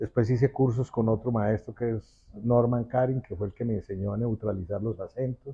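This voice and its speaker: A man speaks at a moderate pace with hardly any pauses, his medium-pitched voice dark, mellow and somewhat breathy, the intonation fairly even and the sound dry and close with no echo. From Colombia, Manizales (paisa region). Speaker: actor. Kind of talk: interview.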